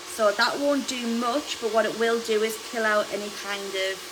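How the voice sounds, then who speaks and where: A woman talks at a moderate pace with fairly even intonation, amid audible room echo and noticeable background noise. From UK. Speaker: hairdresser. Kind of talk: live tutorial.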